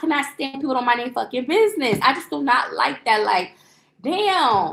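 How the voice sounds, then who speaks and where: Loud and animated, a woman talks at a fairly quick pace in a high pitch. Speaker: lifestyle livestreamer. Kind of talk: casual storytelling. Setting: livestream.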